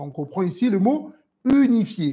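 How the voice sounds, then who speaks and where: The voice makes very wide pitch swings in a very clean recording with a silent background. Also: man. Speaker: Islamic religious teacher. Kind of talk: lecture. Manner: deliberately slow.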